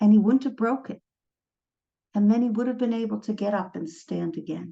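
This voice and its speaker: Fairly quick, somewhat breathy speech from a woman with a fairly high pitch, an American accent and ordinary pitch variation. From United States. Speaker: trauma psychologist. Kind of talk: lecture.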